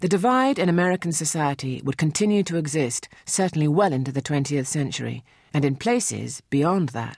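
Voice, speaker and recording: Fairly quick British-accented speech with hardly any pauses, over a quiet background. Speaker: narrator. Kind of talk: scripted narration.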